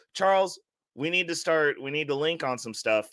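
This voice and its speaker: In a bright, sharp tone, a man talks at a fairly quick pace. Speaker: live stream host, personal finance. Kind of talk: casual live stream chat. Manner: fast; animated.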